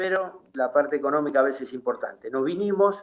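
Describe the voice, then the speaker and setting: A man speaks with ordinary pitch variation. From Argentina. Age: 60s. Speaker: retired footballer. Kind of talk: interview. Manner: halting.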